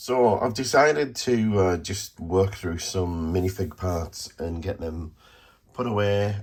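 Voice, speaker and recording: Very slow delivery with ordinary pitch variation. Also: man, fairly low pitch for a man. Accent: British. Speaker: vlogger, online toy reseller. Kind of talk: vlog monologue. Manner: hesitant, many fillers.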